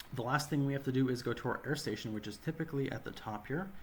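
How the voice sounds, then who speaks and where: A somewhat breathy man with an American accent. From US Midwest. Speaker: gaming YouTuber. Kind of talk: gameplay tutorial commentary. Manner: casual.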